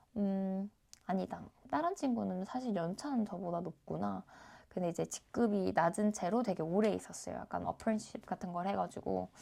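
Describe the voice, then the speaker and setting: A woman is talking at a moderate pace. The recording is very clean, and the background is silent. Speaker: YouTuber, cybersecurity worker. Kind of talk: casual vlog talk. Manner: hesitant, many fillers.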